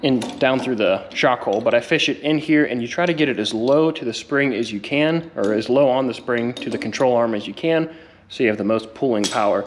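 A man rattles along at a very fast pace with ordinary pitch variation. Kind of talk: tutorial. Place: garage. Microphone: phone near.

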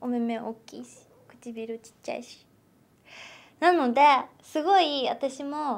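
Speaking very slowly with long, frequent pauses, a woman uses a high pitch and ordinary pitch variation. Her loudness swings widely. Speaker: actress. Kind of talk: interview. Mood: cheerful, thoughtful. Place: meeting room.

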